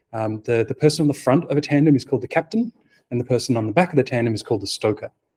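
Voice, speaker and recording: A man with an Australian accent talks at a very fast pace, somewhat breathy. The sound is dry and close with no echo, against a quiet background. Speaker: software architect. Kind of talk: conference talk. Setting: meetup talk with audience. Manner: hesitant, many fillers.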